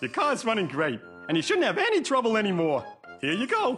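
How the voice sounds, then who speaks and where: A cartoonish character voice at a fairly high pitch moves at a fairly quick pace while music plays clearly in the background. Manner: friendly, easygoing.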